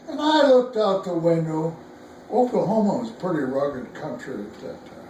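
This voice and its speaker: A man's voice at a fairly slow pace, with very wide pitch swings and noticeable background noise. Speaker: war veteran. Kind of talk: interview answer.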